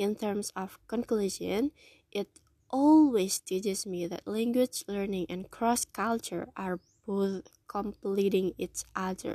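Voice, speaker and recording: A woman with an Indonesian accent talks very slowly at a medium pitch, her tone dark and mellow. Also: ordinary pitch variation, dry, close sound with no echo. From Indonesia, Solo. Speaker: language teacher. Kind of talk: personal self-presentation monologue.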